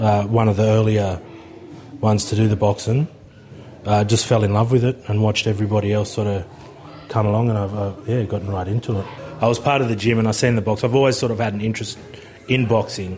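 Amid noticeable background noise, a man with a fairly low pitch talks at a very fast pace, with fairly even intonation and long, frequent pauses. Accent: Australian. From Batemans Bay, New South Wales South Coast. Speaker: boxing trainer. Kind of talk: interview monologue.

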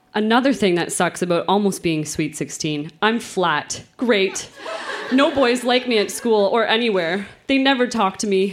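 A woman talks at a moderate pace. She has an unremarkable speaking voice. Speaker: guest reader. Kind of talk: reading aloud. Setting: stage with audience.

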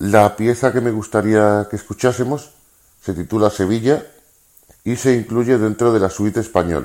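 Speaking at a moderate pace, a man uses a normal speaking voice with a fairly low pitch and fairly even intonation. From Seville, southern Spain. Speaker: listener contributor. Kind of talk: recorded message.

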